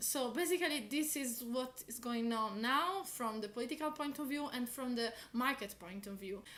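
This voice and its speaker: Over noticeable background noise, a woman speaks in a high pitch with ordinary pitch variation. She keeps a moderate pace with hardly any pauses. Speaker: political commentator. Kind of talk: explainer video. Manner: hesitant with fillers.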